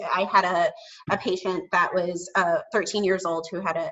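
At a moderate pace, a woman with a medium pitch speaks in a normal speaking voice with an American accent. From Chicago suburbs. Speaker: speech-language pathologist and communication consultant. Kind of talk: casual chat. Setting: video call.

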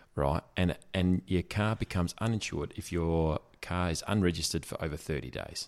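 With a strong Australian accent, a man talks at a moderate pace with hardly any pauses, his pitch very deep and low, on a very clean recording with a silent background. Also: ordinary pitch variation. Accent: broad Australian. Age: 40s. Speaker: podcast co-host. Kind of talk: casual chat.

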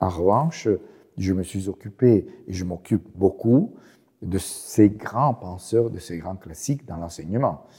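Very slow, fairly low male voice, dark and mellow, somewhat breathy, with lively intonation and big swings in loudness. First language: Italian (speaking French). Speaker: professor. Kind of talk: interview. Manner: halting.

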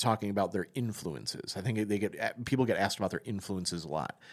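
In a very clean recording with a silent background, a man with a fairly low pitch and an ordinary speaking voice talks at a fairly quick pace with ordinary pitch variation. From Wisconsin, US Midwest. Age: 40s. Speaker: podcast host, music writer. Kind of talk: casual interview conversation.

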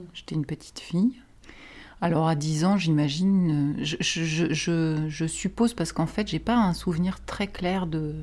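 A woman's fairly low, somewhat breathy voice with a dark, mellow tone, ordinary pitch variation and a moderate pace. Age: 40s. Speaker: therapist. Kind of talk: interview.

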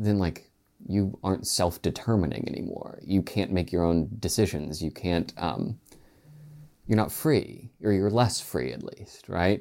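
With an American accent, the speaker talks at a fairly slow pace in a dark, mellow tone, with ordinary pitch variation. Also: man, very deep, low pitch for a man. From West Virginia, Roane County. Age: 20s. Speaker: state legislator. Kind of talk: interview conversation.

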